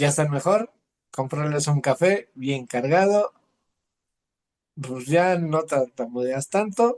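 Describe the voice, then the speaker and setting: A man with a fairly high voice speaks at a very slow pace, leaving long, frequent pauses. His intonation is lively. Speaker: poet. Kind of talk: interview conversation. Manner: halting.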